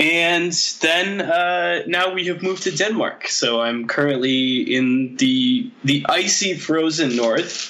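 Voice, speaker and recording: A man with lively intonation against noticeable background noise. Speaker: guest. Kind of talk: casual interview chat.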